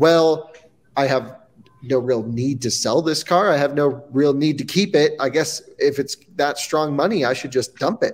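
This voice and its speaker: Ordinary variation marks this man's pitch. He keeps a moderate pace. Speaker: podcast co-host. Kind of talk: casual podcast chat. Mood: amused, laughing. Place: office.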